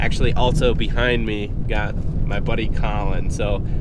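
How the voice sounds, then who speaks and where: A man at a fairly slow pace, in dry sound with no echo, under loud background noise. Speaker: hunting vlogger. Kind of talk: casual vlog chat. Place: car. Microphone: phone near.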